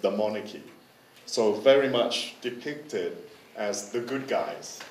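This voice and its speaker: In a room with audible echo, a man speaks very slowly at a medium pitch. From partly Netherlands, Thai ties. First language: Dutch. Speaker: curator. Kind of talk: conference presentation. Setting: forum with interpreter, microphone. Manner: halting, many repetitions and fillers.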